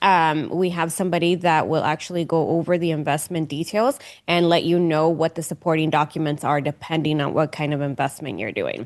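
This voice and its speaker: Against a quiet background, a woman speaks in a very deep, low pitch. Her pace is fairly quick, with fairly even intonation and hardly any pauses. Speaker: retirement account specialist. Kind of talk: live webinar Q&A. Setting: online webinar. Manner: fairly loud.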